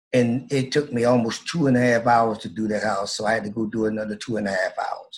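This man talks at a fairly quick pace with hardly any pauses. His pitch is medium. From Flint, Michigan. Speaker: motivational speaker. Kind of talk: interview. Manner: animated.

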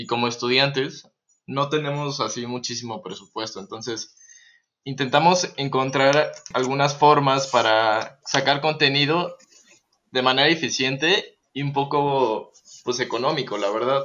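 This man has a plain, everyday voice, fairly high in pitch, with fairly even intonation and a fairly slow pace. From Texas, US. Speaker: guitarist and music producer. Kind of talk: casual chat. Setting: remote recording from home.

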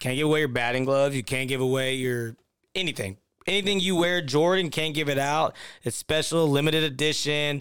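A man talks with an ordinary speaking voice at a fairly quick pace. His pitch is fairly high, with ordinary pitch variation. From Victoria, Texas. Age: 20s. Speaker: former pro baseball player, podcast co-host. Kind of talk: casual chat.

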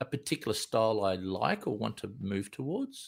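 With an Australian accent, a man talks at a moderate pace with lively intonation in a very clean recording with a silent background. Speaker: commercial film director. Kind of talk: interview. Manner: casual.

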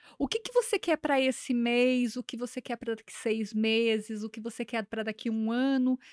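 On a very clean recording with a silent background, a woman speaks at a fairly high pitch. She has a plain, everyday voice and fairly even intonation. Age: 40s. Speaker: businesswoman, franchise owner. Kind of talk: interview, casual chat.

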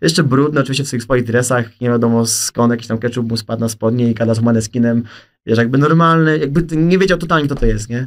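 A man rattles along at a very fast pace, his medium pitch showing ordinary variation. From south-eastern Poland. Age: 20s. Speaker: content creator. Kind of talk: casual chat. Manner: animated.

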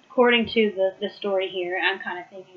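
There is noticeable background noise as a woman talks. She keeps a moderate pace and fairly even intonation. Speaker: Bible study leader. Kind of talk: Bible study teaching. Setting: live video stream.

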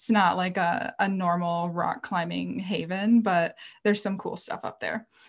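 Speaking with an American accent, a woman has a medium pitch and a somewhat breathy sound, with fairly even intonation. The recording is very clean, with a silent background. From rural Minnesota, US Midwest. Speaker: outdoor writer and former guide. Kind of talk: casual interview.

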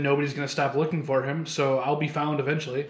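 Delivered at a very fast pace in a Midwestern American accent, the speech has monotone, flat intonation. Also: man. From Michigan. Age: 20s. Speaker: podcast co-host, ministry student. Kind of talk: casual chat.

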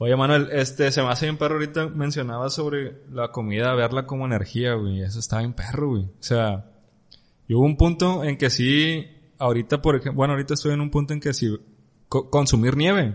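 A man's normal speaking voice, medium in pitch with ordinary variation, at a fairly quick pace. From Mexico. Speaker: podcast host. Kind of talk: casual chat.

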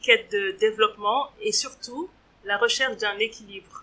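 A woman speaks at a fairly slow pace with a bright, sharp tone. Her pitch is fairly high and varies in an ordinary way. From Switzerland, Geneva. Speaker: entrepreneur. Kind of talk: interview. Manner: hesitant, frequent fillers.

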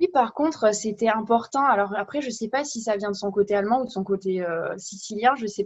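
A woman's somewhat breathy voice sits at a fairly high pitch with ordinary pitch variation. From France. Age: 20s. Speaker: podcast guest. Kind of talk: casual chat.

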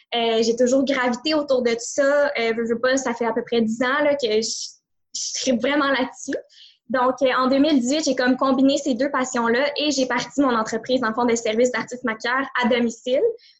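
At a moderate pace, a woman with a Quebec accent speaks in a monotone, flat intonation at a high pitch. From Quebec, greater Montreal. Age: 20s. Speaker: entrepreneur. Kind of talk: interview.

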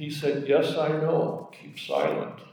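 The speech moves at a fairly slow pace. Room echo is audible, and background noise is noticeable. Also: man. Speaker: scripture reader in church service. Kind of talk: reading aloud.

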